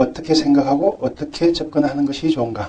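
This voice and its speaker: Noticeable background noise behind a man's moderate-paced speech with ordinary pitch variation. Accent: Gyeongsang. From Gyeongsang region, Korea. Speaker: pharmacist lecturer. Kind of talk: health lecture. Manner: conversational, rhetorical questions.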